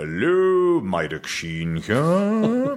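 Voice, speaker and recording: A man puts on a character voice pitched high. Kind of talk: posh, affected.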